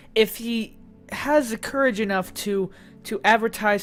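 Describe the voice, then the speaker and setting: The voice shows ordinary pitch variation while music plays in the background. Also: woman. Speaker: YouTube commentator. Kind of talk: casual commentary to camera. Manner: hesitant, many fillers.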